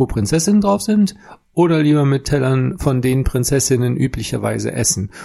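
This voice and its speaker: Lively intonation marks this man's medium-pitched voice. It sounds somewhat breathy. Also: very even loudness. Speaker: podcast co-host. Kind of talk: casual chat. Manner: slow with long thinking pauses.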